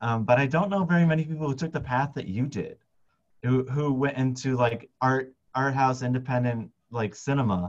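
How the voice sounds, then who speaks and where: The man talks at a fairly quick pace with a medium pitch and ordinary pitch variation. The background is quiet. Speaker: biologist and science filmmaker; interviewer, host. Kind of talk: interview conversation. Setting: video call. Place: home room. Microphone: video call.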